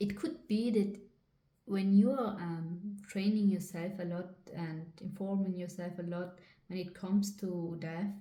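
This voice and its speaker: A woman's dark, mellow, somewhat breathy voice, fairly even in intonation and fairly slow in pace. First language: not English. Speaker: psychic reader / channeller. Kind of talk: spiritual channeling reading to camera.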